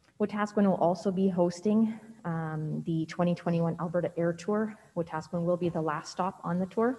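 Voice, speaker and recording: A woman with a fairly low voice speaks with fairly even intonation over light background noise. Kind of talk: meeting report presentation. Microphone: video call.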